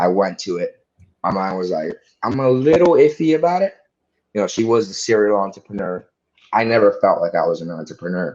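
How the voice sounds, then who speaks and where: Pitch swings very widely as a man with an American accent talks at medium pitch. His pace is fairly quick. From Dominican Republic, then US from age 14. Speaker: real estate investor. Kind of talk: casual podcast interview.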